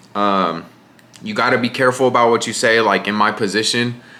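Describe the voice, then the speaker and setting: A man speaks with an American accent at a moderate pace. His pitch rises and falls in an ordinary way. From Riverside, California (Inland Empire). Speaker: content creator. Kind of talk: casual Q&A monologue. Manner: casual, filler-heavy.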